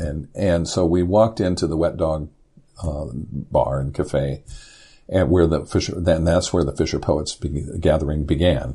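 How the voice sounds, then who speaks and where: A man with an American accent talks at a moderate pace in a very deep, low pitch, his tone dark and mellow, with ordinary pitch variation and vocal fry. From US Midwest (Indiana). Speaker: poet and former commercial fisherman. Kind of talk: interview conversation. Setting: podcast interview.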